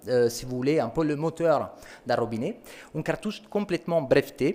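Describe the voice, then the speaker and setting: The speaker talks at a fairly quick pace in an Italian accent. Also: man. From Italy. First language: Italian (speaking French). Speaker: company sales representative. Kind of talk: product presentation.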